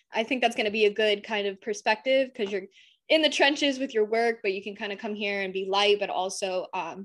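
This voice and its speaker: A woman with an American accent talks at a fairly quick pace, with ordinary pitch variation and a medium pitch, in an ordinary speaking voice. The background is quiet. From Southwest Florida. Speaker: podcast co-host. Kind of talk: casual chat.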